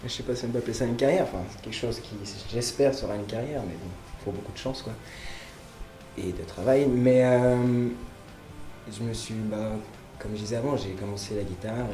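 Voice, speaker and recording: Music plays behind a man who talks at a fairly quick pace with long, frequent pauses, a medium pitch and ordinary pitch variation. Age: young. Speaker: musician. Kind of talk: interview answer.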